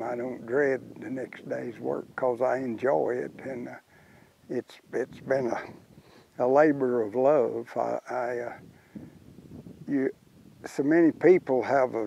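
This man talks with a Texan accent at a medium pitch. His pace is fairly slow, and his pitch varies in an ordinary way. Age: 80s+. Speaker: cowboy. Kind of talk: interview answer.

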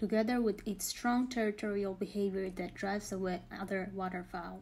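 Somewhat breathy, with a dark, mellow tone, a woman talks at a fairly quick pace. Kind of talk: scripted nature documentary narration, measured and informative. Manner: formal, even-paced, impersonal and factual; measured, steady delivery of statistics and species facts.

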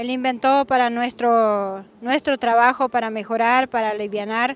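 Speaking at a very slow pace, a woman keeps a high pitch and fairly even intonation. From Argentina, Misiones (San Vicente). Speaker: small farmer and food producer. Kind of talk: interview at an exhibition stand. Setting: farm machinery exhibition. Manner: halting, many fillers and repetitions.

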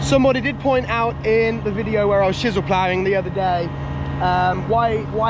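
A man speaks at a fairly quick pace. The sound is dry with no echo, and background noise is noticeable. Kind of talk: casual vlog chat. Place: open country. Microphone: phone near.

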